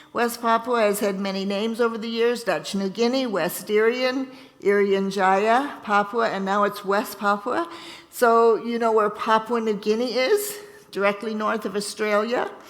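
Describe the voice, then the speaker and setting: A woman speaks at a moderate pace with a fairly high pitch and fairly even intonation. Noticeable background noise and audible room echo are present. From Ontario, Canada. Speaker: missionary nurse. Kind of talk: church talk. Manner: halting.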